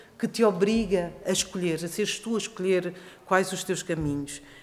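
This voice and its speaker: Noticeable background noise around a woman speaking at a moderate pace. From Portugal. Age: 50s. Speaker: actress and stage director. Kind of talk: panel discussion.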